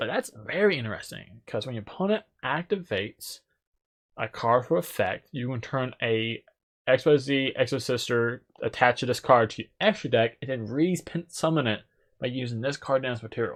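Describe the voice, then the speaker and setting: A man mumbles at a medium pitch with lively intonation. The recording is very clean, with a silent background. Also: moderate pace. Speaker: gaming YouTuber. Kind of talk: card set review. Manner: mumbling; casual.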